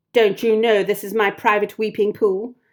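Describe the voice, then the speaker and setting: In a put-on character voice, a female-sounding speaker growls at a medium pitch with monotone, flat intonation and a moderate pace. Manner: angry, scolding.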